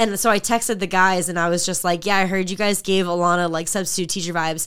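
Against a silent background on a very clean recording, a woman speaks very fast in a monotone, flat intonation. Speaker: fitness podcast co-host and group training coach. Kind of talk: casual chat. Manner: loud.

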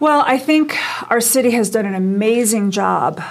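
A woman with an American accent talks in a normal speaking voice. Her pace is fairly slow and her pitch varies in an ordinary way. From US Midwest, Chicago. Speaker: political candidate and real estate broker. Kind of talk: radio interview.

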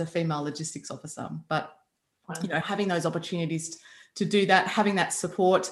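Speaking at a very fast pace, a woman with an Australian accent keeps a fairly low pitch and fairly even intonation. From Australia, Byron Bay hinterland. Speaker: army veteran. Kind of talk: interview conversation.

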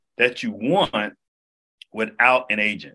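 A man's plain, everyday voice at a medium pitch, fairly slow in pace, with lively intonation. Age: 40s. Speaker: actor and entrepreneur. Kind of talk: casual interview.

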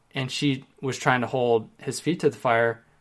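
A man at medium pitch with fairly even intonation, in a very clean recording with a silent background. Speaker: relationship podcast host. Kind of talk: solo podcast monologue answering questions. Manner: rapid fire.

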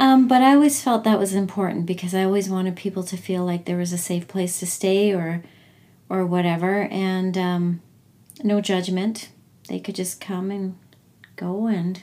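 A woman with a Canadian accent and a dark, mellow tone. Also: medium pitch for a woman, fairly even intonation, moderate pace. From Alberta, Canada (Edmonton). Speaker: energy healer and mother. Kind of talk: casual chat.

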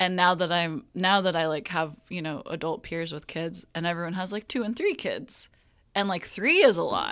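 A woman's fairly low-pitched voice, an ordinary speaking voice, at a moderate pace with ordinary pitch variation, on a very clean recording with a silent background. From Kansas (Wichita). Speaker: magazine art director. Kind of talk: casual interview.

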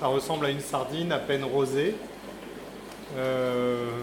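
The man's voice sits at a fairly high pitch. Room echo can be heard. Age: 40s. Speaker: zoo director and veterinarian. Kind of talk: guided tour explanation. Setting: inside a tropical zoo greenhouse. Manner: hesitant, many fillers and repetitions.

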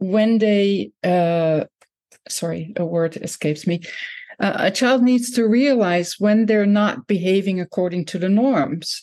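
With a Dutch accent, a woman at medium pitch speaks at a fairly slow pace with lively intonation. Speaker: professor and author. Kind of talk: interview conversation.

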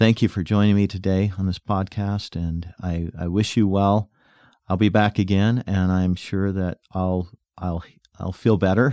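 A man with an American accent speaks at a fairly slow pace in a very deep, low pitch, his dark, mellow tone held to a monotone, flat intonation on a very clean recording with a silent background. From US West, rural northeastern Utah. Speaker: podcast host. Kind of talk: personal reflection monologue. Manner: halting.

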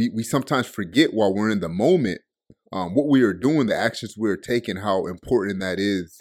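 A man speaks in a fairly low pitch. His pitch variation is ordinary. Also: fairly quick pace. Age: 20s. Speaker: motivational speaker. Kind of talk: motivational talk. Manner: animated.

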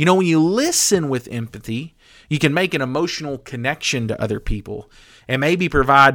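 A man with an American accent, ordinary pitch variation, and a very clean recording over a silent background. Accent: country accent, sometimes comes through. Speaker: podcast host. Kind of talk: motivational talk.

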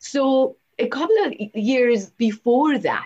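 Lively in intonation, a woman speaks at a very slow pace. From Iran. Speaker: holistic medicine doctor and yoga teacher. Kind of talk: interview.

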